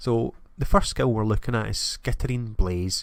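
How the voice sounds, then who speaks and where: A man with a Scottish accent at a moderate pace and ordinary pitch variation, in a very clean recording with a silent background. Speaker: gaming YouTuber. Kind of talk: game preview commentary.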